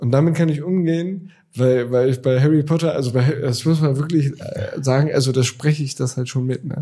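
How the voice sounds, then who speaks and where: Somewhat breathy and dark, mellow in tone, the voice moves at a fairly quick pace with ordinary pitch variation. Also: man. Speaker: podcast co-host. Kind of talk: casual chat.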